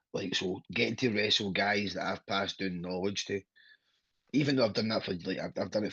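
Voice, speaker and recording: Against a quiet background, a man speaks in a Glasgow accent. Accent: Scottish (Glasgow area). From Scotland. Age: 30s. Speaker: professional wrestler. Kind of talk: interview. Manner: halting.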